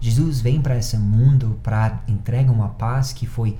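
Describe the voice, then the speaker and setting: Amid audible room echo, a man talks at a moderate pace. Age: 30s. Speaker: pastor. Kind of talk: sermon.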